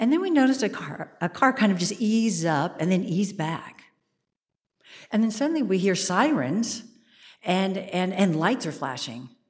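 A woman's somewhat breathy, animated voice with an American accent, medium in pitch with very wide pitch swings, at a moderate pace. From US. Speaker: theater artistic director and actor. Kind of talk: live storytelling. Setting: church stage with audience.

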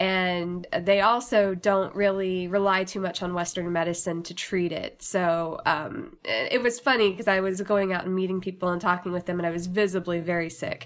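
A woman with an unremarkable speaking voice, medium pitch, moderate pace and hardly any pauses. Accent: American. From southern Indiana. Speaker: radio producer and talk show host. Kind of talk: personal storytelling. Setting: recorded at home.

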